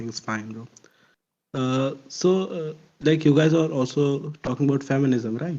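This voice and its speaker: Speaking at a fairly slow pace with an Indian accent, this voice has a dark, mellow tone, ordinary pitch variation and big swings in loudness. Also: man, fairly high pitch for a man. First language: not English. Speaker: audience member in live discussion. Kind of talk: casual debate in voice chat. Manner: halting, many fillers.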